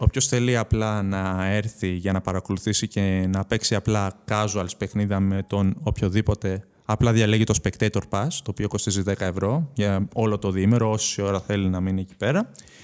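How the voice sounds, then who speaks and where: A man with an unremarkable speaking voice talks at a moderate pace with hardly any pauses, fairly low in pitch. The recording is very clean, with a silent background. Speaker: esports tournament organizer. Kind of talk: casual chat. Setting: studio.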